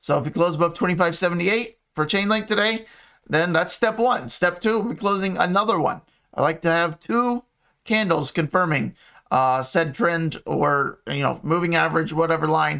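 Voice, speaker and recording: A man's high-pitched voice with a bright, sharp tone, lively intonation, very even loudness and a moderate pace, on a very clean recording with a silent background. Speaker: crypto market analyst. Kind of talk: chart analysis tutorial. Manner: halting with many fillers; casual.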